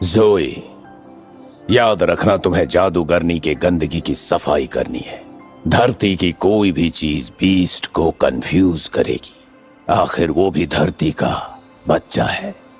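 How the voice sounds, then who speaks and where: Faint music plays behind a man doing a put-on character voice. He speaks at a very slow pace in a very deep, low pitch. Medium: fan dub. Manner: calm, cryptic.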